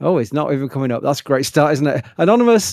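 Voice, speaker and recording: In a Yorkshire accent, a man talks at a very fast pace with lively intonation, the sound dry and close with no echo. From Yorkshire, northern England. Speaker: livestream host. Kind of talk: live stream commentary and Q&A. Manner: mumbling at times.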